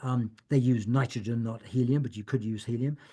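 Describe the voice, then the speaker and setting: Somewhat breathy, a man's dark, mellow voice sits at a medium pitch with ordinary pitch variation. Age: 70s. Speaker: author and end-of-life activist. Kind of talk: Q&A talk. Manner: halting, many fillers and repetitions.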